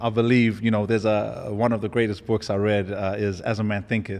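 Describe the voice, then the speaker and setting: In an American accent, a man talks at a moderate pace. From Zimbabwe (Harare), later Houston, Texas. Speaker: property investor and entrepreneur. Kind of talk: interview conversation. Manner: hesitant, many fillers and repetitions.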